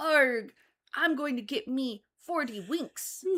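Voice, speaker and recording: Putting on a character voice, a woman speaks very slowly at a high pitch. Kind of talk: pirate talk, exaggerated.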